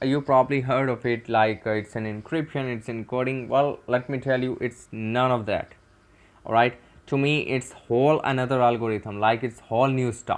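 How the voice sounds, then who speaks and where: A man with a Pakistani accent speaks at a moderate pace and medium pitch. His intonation is monotone and flat. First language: Urdu. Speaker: cybersecurity tutor. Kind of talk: tutorial. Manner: halting.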